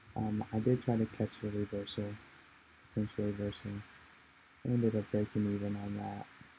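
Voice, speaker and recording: A man's fairly low, flat, monotone voice at a moderate pace, with music in the background. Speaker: day trader. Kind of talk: trading recap voiceover.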